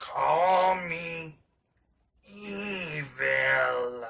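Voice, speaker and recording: A man puts on a raspy character voice with a fairly high pitch. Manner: sinister, menacing.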